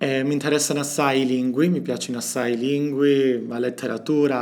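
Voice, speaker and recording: A man speaks at a medium pitch and a moderate pace, with fairly even intonation. There is noticeable background noise in the recording. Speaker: doctoral student. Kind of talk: interview monologue about his language.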